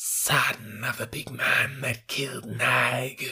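A man's raspy, hissing put-on character voice at a very slow pace. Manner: hissing, menacing, triumphant.

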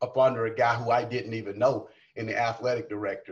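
Somewhat breathy and in a Southern US accent, a man speaks at a medium pitch and a fairly quick pace with monotone, flat intonation. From South Carolina. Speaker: college coach. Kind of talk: casual chat. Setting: video call.

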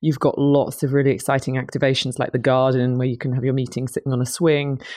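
Against a quiet background, a woman with a British accent speaks very fast in a monotone, flat line and a very deep, low pitch. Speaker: conference company CEO. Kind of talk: casual interview chat. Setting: conference venue.

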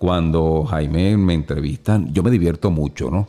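A man's very deep, low voice with a dark, mellow tone, at a moderate pace. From Venezuela. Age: 50s. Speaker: motivational speaker and voice-over announcer. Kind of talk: casual interview. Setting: studio. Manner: animated.

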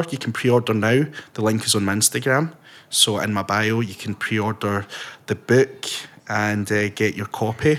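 A man with a Scottish accent talks at a moderate pace and a medium pitch. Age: 20s. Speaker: podcast host and author. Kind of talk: casual chat. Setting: video call.

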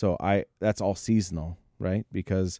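Speaking with an American accent, the voice has a dark, mellow tone and monotone, flat intonation at a fairly slow pace, in a very clean, dry, close recording with no echo and a silent background. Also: man. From Northern California. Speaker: food truck owner. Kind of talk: casual chat.

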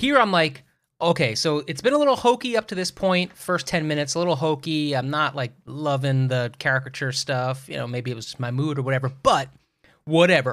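A man with a normal speaking voice talks at a fairly quick pace, his pitch fairly high and its variation ordinary. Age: 40s. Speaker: podcast co-host. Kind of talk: casual chat.

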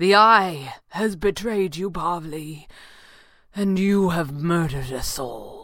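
At a very slow pace, a put-on character voice draws out each word. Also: woman, fairly low pitch for a woman, ordinary pitch variation. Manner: grave, urgent, clipped upper-class.

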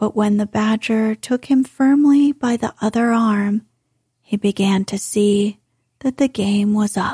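An unforced reading voice is heard. Behind it, the background is quiet.

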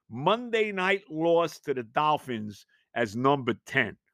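A man with a New York accent talks at a very slow pace and high pitch, with very wide pitch swings and a bright, sharp tone. The sound is dry and close with no echo, in a very clean recording with a silent background. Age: 60s. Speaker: sports podcast host. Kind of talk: solo sports talk monologue. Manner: animated.

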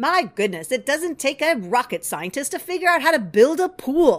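This is a put-on character voice with a high pitch. It moves at a moderate pace with very wide pitch swings. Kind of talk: sarcastic, casual.

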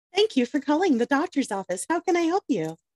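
Delivered at a very fast pace, a put-on character voice sounds high-pitched and cheerful in tone. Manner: polite, cheerful, scripted.

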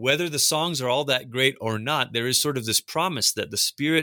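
A man with a Pacific Northwest accent talks at a fairly quick pace in a bright, sharp tone, with ordinary pitch variation. The sound is dry and close with no echo, on a very clean recording with a silent background. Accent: American, Pacific Northwest. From Malaysia, then Portland, Oregon from age ten. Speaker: pastor and author. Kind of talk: interview about his book. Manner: halting, many repeated words.

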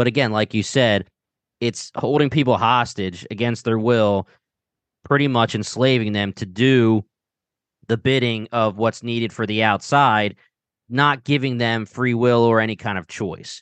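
A man speaks at a fairly slow pace with a medium pitch and an American accent. His intonation is fairly even, and the background is quiet. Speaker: podcast host. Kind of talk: casual podcast discussion of a TV show.

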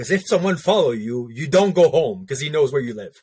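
A somewhat breathy man with a French accent and lively intonation. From Quebec, French Canada. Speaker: veteran and former police officer. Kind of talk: casual interview.

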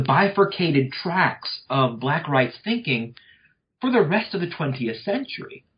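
Very slowly, a man with an American accent speaks in a somewhat breathy voice. His pitch swings very widely. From North Louisiana, US South. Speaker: history professor. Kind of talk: interview about his book.

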